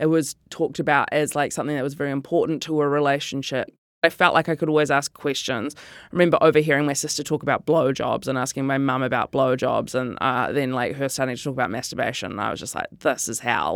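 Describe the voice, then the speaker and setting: On a very clean recording with a silent background, a woman with a very deep, low pitch talks at a very fast pace with fairly even intonation. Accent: New Zealand. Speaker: comedian and writer. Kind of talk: interview.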